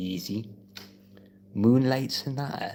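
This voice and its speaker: With a northeast English accent, a man speaks at a fairly slow pace with ordinary pitch variation. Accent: northeast English (Geordie-type). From northeast England. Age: 20s. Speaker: piano live streamer. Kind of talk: casual chat. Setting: live stream. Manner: relaxed, halting with fillers.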